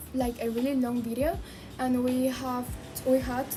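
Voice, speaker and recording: With an American accent, a woman talks in a high voice. Music plays in the background, and audible room echo surrounds her. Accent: American-tinged English, non-native. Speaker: language learner vlogger. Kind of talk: casual vlog monologue. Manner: halting with fillers in English.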